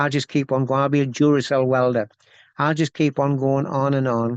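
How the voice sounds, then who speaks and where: A man's medium-pitched, flat, monotone voice with an Essex accent, dry and close with no echo, over a quiet background. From Essex, England. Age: 60s. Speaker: welder. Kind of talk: casual interview chat.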